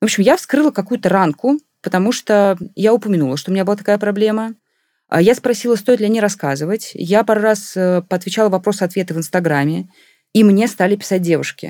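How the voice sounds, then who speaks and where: At a fairly quick pace, a woman speaks at a medium pitch with ordinary variation and a dark, mellow tone, in a very clean, silent-background recording that is dry and close with no echo. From Russia, Moscow region (Khimki). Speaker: communications director and runner. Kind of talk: casual interview. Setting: studio.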